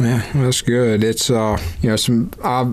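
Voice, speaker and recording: Speaking in a Mississippi accent, a man keeps a medium pitch and fairly even intonation. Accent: US South, Mississippi. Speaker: extension entomologist, podcast host. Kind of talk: casual interview chat.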